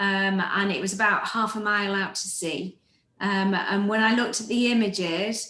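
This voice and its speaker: With an English accent, a woman talks in a medium pitch. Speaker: nature photography show co-host. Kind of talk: casual chat. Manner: hesitant with many ums.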